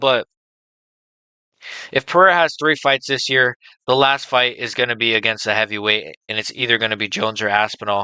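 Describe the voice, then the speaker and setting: A man uses a raspy put-on character voice at a medium pitch with ordinary pitch variation, talking at a fairly quick pace with long, frequent pauses, the sound dry and close with no echo over a quiet background. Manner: casual sports talk.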